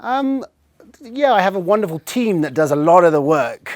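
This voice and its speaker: Speaking fairly quickly with lively intonation, a man talks with an English accent. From England, Swindon. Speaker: technology channel manager. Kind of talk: interview.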